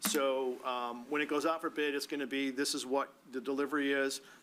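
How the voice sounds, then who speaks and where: This man's voice sits at a medium pitch with a bright, sharp tone. He talks at a fairly quick pace. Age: 60s. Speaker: board chair. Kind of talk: public meeting discussion. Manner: casual, halting.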